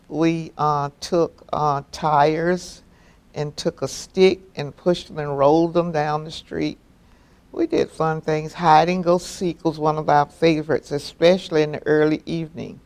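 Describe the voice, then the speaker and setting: A woman in an American accent, very deep and low-pitched, monotone and flat, at a fairly slow pace. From South Florida (Deerfield Beach). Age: 70s. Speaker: local resident, oral history interviewee. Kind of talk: oral history interview.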